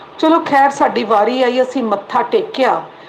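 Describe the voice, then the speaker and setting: Noticeable background noise surrounds a woman with a high pitch. Her intonation is lively. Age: 60s. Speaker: devotee sharing experience. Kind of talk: testimony.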